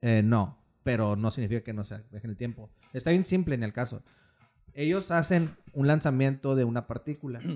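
This man's voice has a dark, mellow tone. His pitch sits in the medium range. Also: lively intonation, moderate pace, very clean recording, silent background. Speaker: podcast co-host. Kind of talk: casual chat.

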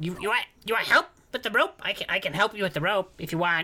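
A female-sounding voice puts on a character voice. The pace is moderate. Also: medium pitch for a woman.

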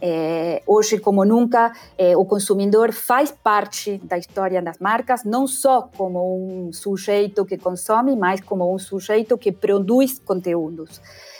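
A woman with an Argentine accent speaks at a medium pitch and a fairly slow pace, with ordinary pitch variation and hardly any pauses. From Argentina. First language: Spanish (speaking Portuguese). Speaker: brand management expert. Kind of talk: interview. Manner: halting.

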